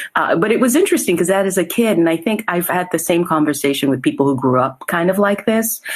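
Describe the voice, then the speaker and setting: Talking at a very fast pace with hardly any pauses, a woman with a fairly low pitch makes very wide pitch swings while keeping her loudness very even. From France and Haiti, summers in Brooklyn. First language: French. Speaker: actor. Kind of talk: interview conversation.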